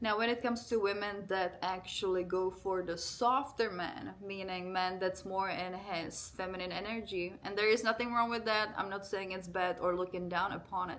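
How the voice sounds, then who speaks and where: Someone with a non-native accent speaks at a moderate pace with fairly even intonation and hardly any pauses, and audible room echo. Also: woman, medium pitch for a woman. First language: not English. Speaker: relationship vlogger. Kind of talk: casual monologue to camera. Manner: informal, conversational.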